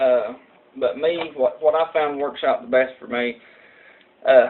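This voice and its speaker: A man in a strong Southern US accent talks at a moderate pace. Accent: strong rural Southern US country. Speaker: vaping tutorial youtuber. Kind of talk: tutorial. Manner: casual, halting with many fillers.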